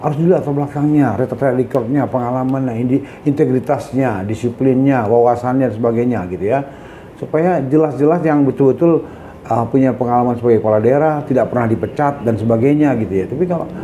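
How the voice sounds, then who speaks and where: A man with a medium-pitched voice talks very fast with ordinary pitch variation amid noticeable background noise. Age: 60s. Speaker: senior lawyer. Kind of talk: interview. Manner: halting, with fillers.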